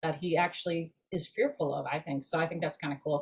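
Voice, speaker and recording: This woman's voice is somewhat breathy, and she speaks at a moderate pace. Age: 60s. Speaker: actress. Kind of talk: casual chat. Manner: animated.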